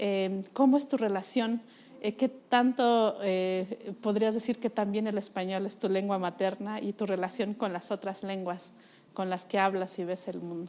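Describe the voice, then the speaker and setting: Speaking at a fairly slow pace, a woman keeps a medium pitch with fairly even intonation. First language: Mixe (speaking Spanish). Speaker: interviewer. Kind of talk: interview. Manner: halting with many fillers.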